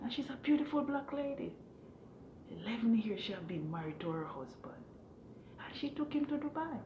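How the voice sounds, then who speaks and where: A woman's high voice with a Jamaican accent, fairly quick yet with long, frequent pauses and very wide pitch swings, over noticeable background noise and audible room echo. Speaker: vlogger, hotel room attendant. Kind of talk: casual opinion monologue. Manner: halting, repetitive.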